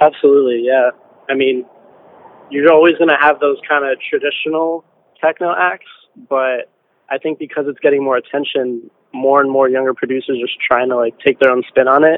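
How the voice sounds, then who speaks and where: A plain, everyday voice at a fairly quick pace with fairly even intonation. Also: man, fairly high pitch for a man. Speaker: techno producer and DJ. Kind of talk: interview.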